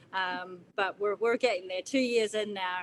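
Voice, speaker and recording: A woman at a moderate pace, her intonation fairly even. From New Zealand. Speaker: chef and baker. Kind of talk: livestream interview. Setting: livestream.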